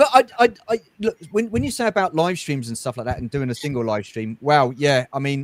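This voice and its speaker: A man with a British accent, fairly high-pitched, at a fairly quick pace with hardly any pauses, very wide pitch swings, and a dry, close sound with no echo. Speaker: toy collector YouTuber. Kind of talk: casual chat. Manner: fast when excited.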